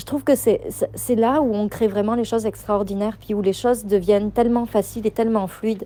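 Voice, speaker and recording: Her tone dark and mellow, a woman speaks fairly quickly at a fairly high pitch with fairly even intonation. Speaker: business coach. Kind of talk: voice message to members. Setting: outdoors. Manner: fast.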